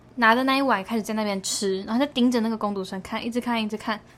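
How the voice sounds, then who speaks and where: At a very fast pace, a woman talks in a fairly high pitch with ordinary pitch variation. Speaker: podcast co-host. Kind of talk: casual chat.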